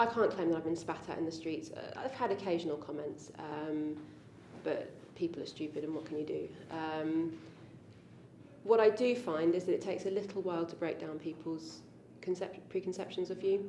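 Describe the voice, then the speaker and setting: Audible room echo surrounds a woman with a fairly low pitch who speaks at a moderate pace with ordinary pitch variation. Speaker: convert interviewee. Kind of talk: interview. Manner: hesitant, many ums.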